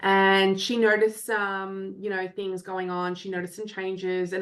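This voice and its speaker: Against a quiet background, a woman with an Australian accent speaks at a fairly slow pace and medium pitch. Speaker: parent coach. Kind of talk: podcast interview.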